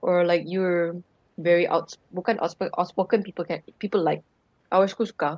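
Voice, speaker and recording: This woman's voice sits fairly low in pitch. Her intonation is monotone and flat. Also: moderate pace, dry, close sound with no echo. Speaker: stream guest. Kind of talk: casual chat. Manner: loud.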